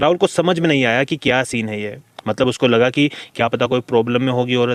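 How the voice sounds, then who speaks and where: Recorded dry and close with no echo, a man with a normal speaking voice talks at a medium pitch with ordinary pitch variation. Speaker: horror storyteller / podcast host. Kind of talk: horror story narration in podcast style, casual storytelling. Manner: conversational, engaging, suspenseful.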